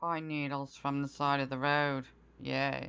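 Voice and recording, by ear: Her voice is extremely low for a woman, with vocal fry and a fairly bright, clear, smooth tone. She speaks at a fairly slow pace with little pitch movement.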